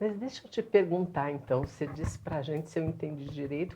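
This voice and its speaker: Very deep, low pitch from a woman, dark and mellow in tone. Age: 60s. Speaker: moderator. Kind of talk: panel discussion.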